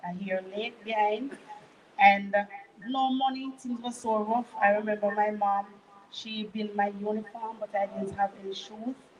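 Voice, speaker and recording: Over music in the background, a woman with a Jamaican accent and fairly high pitch talks at a moderate pace in a monotone, flat intonation. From Jamaica, Manchester parish. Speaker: guest sharing testimony. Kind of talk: testimony.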